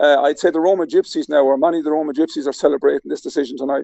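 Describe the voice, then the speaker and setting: A man with an Irish accent at a very fast pace. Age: 60s. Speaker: political commentator guest. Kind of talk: political discussion. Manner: halting, many fillers.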